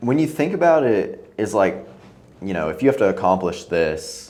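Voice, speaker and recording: With audible room echo in the space, a man delivers his words at a moderate pace. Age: 30s. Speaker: podcast host. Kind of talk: casual chat. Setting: home apartment studio.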